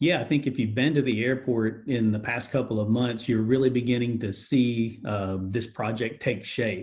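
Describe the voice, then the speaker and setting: Somewhat breathy, a man at medium pitch speaks at a moderate pace with fairly even intonation and hardly any pauses. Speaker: airport director of strategic marketing and communications, public information officer. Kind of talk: interview answer, corporate spokesperson.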